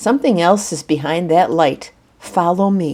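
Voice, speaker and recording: A female-sounding voice does a put-on character voice, gruff and rumbling at a middle pitch. The pace is moderate. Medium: read story. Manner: gruff, grumbling.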